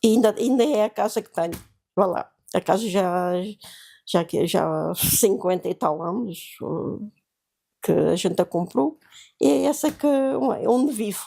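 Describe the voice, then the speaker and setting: A woman's dark, mellow voice with vocal fry, lively intonation and a fairly slow pace, broken by long, frequent pauses, on a very clean recording with a silent background. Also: medium pitch for a woman. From Portugal, Beira Interior (Malpique, near Belmonte). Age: 80s+. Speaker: seamstress, interviewee recalling 1974 revolution. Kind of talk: oral history interview. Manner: halting, many hesitations and repetitions.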